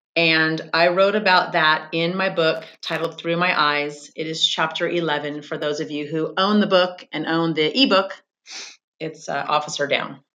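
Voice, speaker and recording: Using an ordinary speaking voice, a woman with an American accent speaks fairly slowly at a fairly low pitch with fairly even intonation. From California. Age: 50s. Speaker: podcast host, former police officer and crime scene investigator. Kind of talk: casual interview chat.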